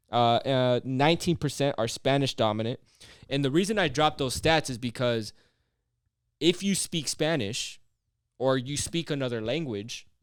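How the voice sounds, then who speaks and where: A man with a normal speaking voice talks at a moderate pace, his medium pitch showing ordinary variation. The recording is very clean, with a silent background. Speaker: podcast host. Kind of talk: casual chat.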